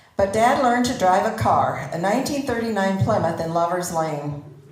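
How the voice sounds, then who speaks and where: Noticeable background noise and audible room echo surround a woman who speaks at a moderate speed. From Netherlands, grew up in Pella, Iowa. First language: Dutch. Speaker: community member telling life story. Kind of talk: personal presentation to audience. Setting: stage with audience.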